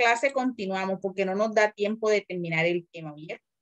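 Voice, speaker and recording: Using an ordinary speaking voice, a woman talks at a moderate pace with fairly high pitch and lively intonation. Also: dry, close sound with no echo. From Colombian Caribbean coast. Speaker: teacher. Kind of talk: lecture.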